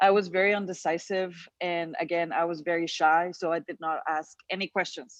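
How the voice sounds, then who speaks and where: At a moderate pace, a woman speaks in a fairly low, flat monotone. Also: quiet background. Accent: non-native. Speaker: panel speaker. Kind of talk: personal story on a panel.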